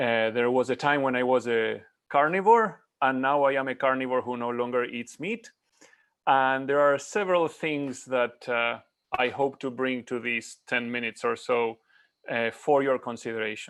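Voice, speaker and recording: A man speaks in an Argentine accent. The background is quiet. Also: medium pitch for a man, ordinary pitch variation, moderate pace. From Argentina. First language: Spanish. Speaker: climate scientist. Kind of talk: conference presentation.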